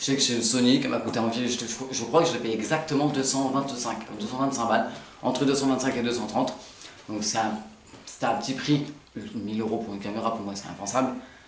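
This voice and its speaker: A man at medium pitch, very fast yet with long, frequent pauses, fairly even in intonation, amid noticeable background noise and audible room echo. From France, Burgundy. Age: 20s. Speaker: beginner youtuber. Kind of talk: casual channel intro vlog. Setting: home apartment. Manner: halting, many filler sounds.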